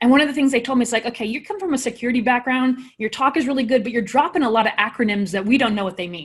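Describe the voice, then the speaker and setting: On a very clean recording with a silent background, a woman speaks at a fairly high pitch with ordinary pitch variation. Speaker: panel moderator. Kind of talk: panel discussion. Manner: fast.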